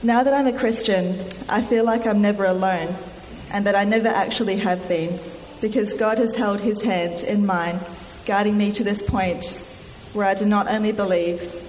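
Over noticeable background noise, a woman speaks at a moderate pace and medium pitch, her intonation fairly even and her loudness very even. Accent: Australian. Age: young. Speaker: church member giving testimony. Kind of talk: testimony read from prepared text. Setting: church with congregation, microphone.

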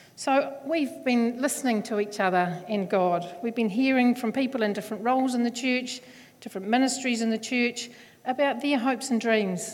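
A woman's fairly high voice in a New Zealand accent, at a moderate pace with ordinary pitch variation. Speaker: church elder. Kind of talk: sermon. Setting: church.

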